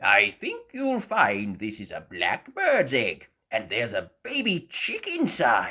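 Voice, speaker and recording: A man uses a put-on character voice. He talks at a fairly slow pace with hardly any pauses. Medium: read story. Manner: knowledgeable, patient.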